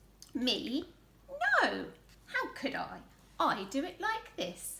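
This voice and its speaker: Using a put-on character voice, a woman projects a raised voice at a high pitch, speaking at a very slow pace with very wide pitch swings. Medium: read story. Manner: matter-of-fact.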